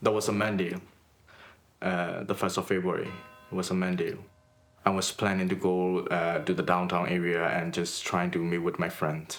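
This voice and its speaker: A man's very deep, low voice in a Burmese accent, monotone and flat, at a moderate pace with very even loudness and long, frequent pauses. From Myanmar (Rangoon). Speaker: artist. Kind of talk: documentary interview. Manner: halting, with hesitations.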